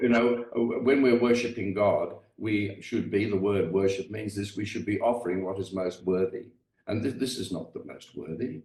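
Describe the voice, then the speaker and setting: Somewhat breathy, a man speaks at a moderate pace with a fairly low pitch and ordinary pitch variation. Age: old. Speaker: retired English professor and author. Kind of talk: podcast interview. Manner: halting, many fillers.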